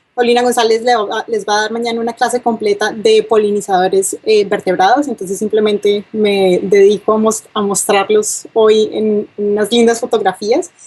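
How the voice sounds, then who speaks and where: A woman with a Colombian accent at a fairly high pitch, moderate pace and fairly even intonation, over noticeable background noise. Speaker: university lecturer, bee geneticist. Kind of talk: lecture. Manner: hesitant, many fillers.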